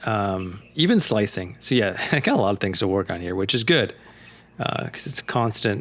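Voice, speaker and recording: This man has a fairly low pitch and a normal speaking voice. He talks at a moderate pace. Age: middle-aged. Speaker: amateur tennis player. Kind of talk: casual commentary over own gameplay footage. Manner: relaxed, conversational, many fillers.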